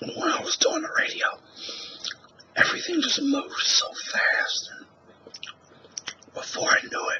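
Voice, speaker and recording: Whispering in an American accent, the speaker leaves long, frequent pauses. Noticeable background noise is present. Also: moderate pace. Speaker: ASMR artist and former radio talk show host. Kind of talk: ASMR whisper talk to camera. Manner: whispered.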